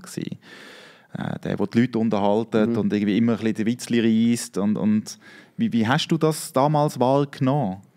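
A dark, mellow tone in a Swiss accent at a moderate pace, over a quiet background. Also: man. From Switzerland. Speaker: podcast host. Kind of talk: casual interview. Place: studio. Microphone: studio mic.

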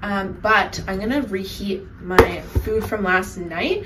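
Light background noise behind a female voice. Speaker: student vlogger. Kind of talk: casual vlog chat. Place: kitchen. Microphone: phone near.

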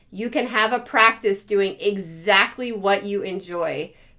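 A woman's pitch varies in an ordinary way as she talks over a quiet background. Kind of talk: casual advice talk to camera. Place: home room. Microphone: phone near.

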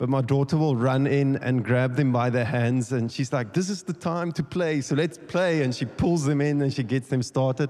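A man at a moderate pace, his pitch varying in an ordinary way. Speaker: speaker. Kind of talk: sermon. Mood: warm, relaxed. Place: church. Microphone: handheld.

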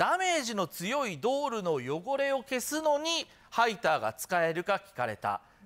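This man's extremely high pitch moves in very wide swings as he speaks at a fairly slow pace. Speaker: TV news reporter. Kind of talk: news report to studio. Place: studio.

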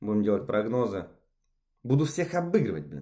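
The background is quiet. A man talks with very wide pitch swings. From Siberia, Russia (Novosibirsk); Russia. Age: 20s. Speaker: amateur tennis player and sports bettor. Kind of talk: self-recorded video application. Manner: halting, many filler sounds. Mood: self-ironic, lightly joking. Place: home room. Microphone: phone near.

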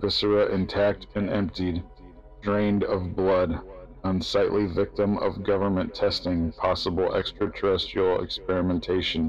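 With music in the background, a man talks at a moderate pace at a very even loudness. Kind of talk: spoken word reading of metal song lyrics.

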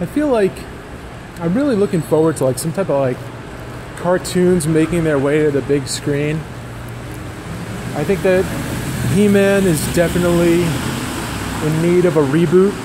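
A man speaks at a moderate pace with a high pitch and ordinary pitch variation. His long, frequent pauses sit over noticeable background noise. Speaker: vlogger. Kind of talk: casual vlog chat. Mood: amused, joking. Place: garage. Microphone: phone near.

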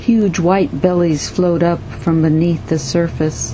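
A woman talking at a very slow pace over noticeable background noise. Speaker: poet. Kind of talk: poetry reading.

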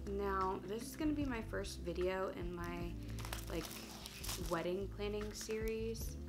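Noticeable background noise is present. Over it, a woman talks at a fairly slow pace. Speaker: middle school teacher and vlogger. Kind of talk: casual talk to camera. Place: home room. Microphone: camera far.

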